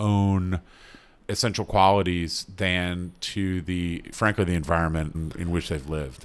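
With an American accent and a very deep, low pitch, a man talks with ordinary pitch variation on a very clean recording with a silent background. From North Carolina, US South. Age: 50s. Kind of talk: casual interview conversation.

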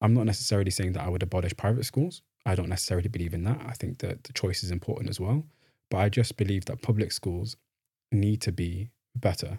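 In a Mancunian accent, a dark, mellow, somewhat breathy voice speaks at a very fast pace with ordinary pitch variation. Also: man, fairly low pitch for a man. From northern England, Manchester. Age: 20s. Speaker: graduate student. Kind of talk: interview. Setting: studio.

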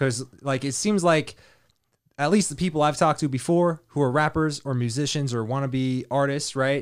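On a very clean recording with a silent background, a man with a plain, everyday voice speaks at a moderate pace. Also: fairly high pitch for a man, ordinary pitch variation. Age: 30s. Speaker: podcast host. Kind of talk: casual chat.

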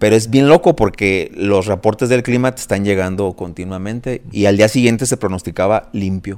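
A man with a fairly low pitch and an unremarkable speaking voice, moderate pace, ordinary pitch variation, hardly any pauses. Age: 40s. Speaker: marathon runner and architect. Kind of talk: casual chat.

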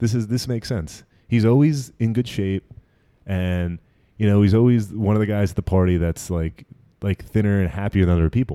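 A man's fairly low voice, fairly quick, with ordinary pitch variation, on a very clean recording with a silent background and a dry, close sound with no echo. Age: 30s. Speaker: private chef and podcast host. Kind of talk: casual chat. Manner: animated.

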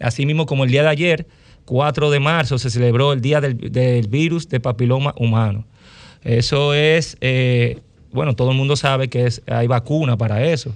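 A man with a Dominican accent talks at a moderate pace. His pitch is medium and his intonation fairly even. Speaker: physician.

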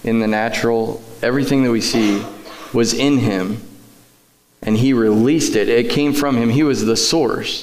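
A man with a medium-pitched voice talks amid noticeable background noise. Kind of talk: church interview. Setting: church.

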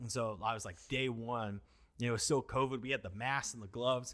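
A man's bright, sharp voice with an American accent at a fairly quick pace, in a very clean recording with a silent background. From Washington (US Pacific Northwest). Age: 30s. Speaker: pastor. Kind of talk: casual chat.

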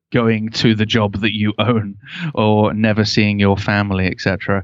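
Over a quiet background, a man talks with a Lancashire accent in a fairly low pitch, his intonation monotone and flat. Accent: northern English (Lancashire). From Canada, Ontario (St. Catharines). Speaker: web agency owner and podcast host. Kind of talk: interview conversation. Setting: remote call.

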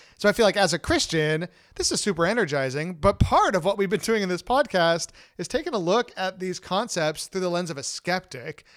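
Lively intonation and a high pitch mark this man's voice. He talks at a fairly quick pace on a very clean recording with a silent background. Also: dry, close sound with no echo. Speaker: senior pastor and podcast host. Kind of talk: interview.

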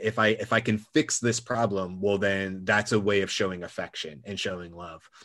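A man with an American accent speaks at a moderate pace in a plain, everyday voice. His intonation stays fairly even. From US South, Georgia. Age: 40s. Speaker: former firefighter and gym owner. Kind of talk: interview conversation.

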